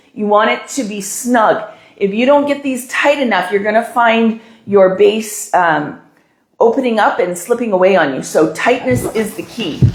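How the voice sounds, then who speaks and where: A woman with a fairly high pitch speaks at a moderate pace with lively intonation and a somewhat breathy voice, and audible room echo surrounds her. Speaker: balloon decorating instructor. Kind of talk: tutorial. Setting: live stream.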